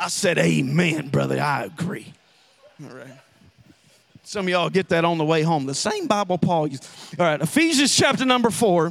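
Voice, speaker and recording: A high-pitched man with a Southern US accent, lively intonation, big swings in loudness and long, frequent pauses over noticeable background noise. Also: moderate pace. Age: 30s. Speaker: pastor. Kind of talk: sermon. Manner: animated.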